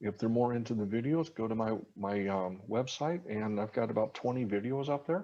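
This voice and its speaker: Against a quiet background, an American man uses an ordinary speaking voice at a medium pitch and fairly quick pace, with ordinary pitch variation and very even loudness. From US Midwest (Iowa). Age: 50s. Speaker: reverse mortgage specialist. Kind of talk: podcast interview.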